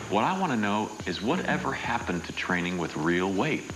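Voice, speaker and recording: A man's voice over music in the background. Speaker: actor. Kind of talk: TV infomercial read.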